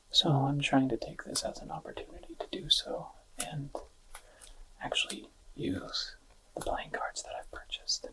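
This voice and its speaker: Whispering and soft-spoken, the voice moves at a fairly slow pace over noticeable background noise. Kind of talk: ASMR card review. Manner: soft-spoken, whispered.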